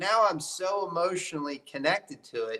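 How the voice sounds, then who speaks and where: With an American accent, a man speaks in a raised, projecting voice that is high-pitched, bright and sharp, with lively intonation. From West Virginia. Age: 50s. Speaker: trial attorney and hunter. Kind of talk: podcast interview.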